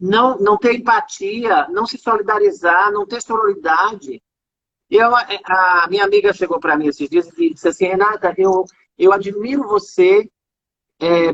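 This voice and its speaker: Medium pitch from a woman in an unremarkable speaking voice, with ordinary pitch variation and a fairly slow pace. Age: 40s. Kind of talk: casual chat. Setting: live video call.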